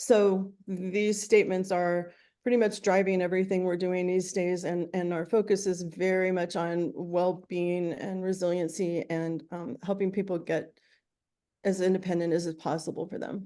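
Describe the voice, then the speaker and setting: Against a quiet background, a woman talks at a medium pitch in a dark, mellow tone with monotone, flat intonation. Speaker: nonprofit director presenting. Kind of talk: meeting presentation. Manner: fast.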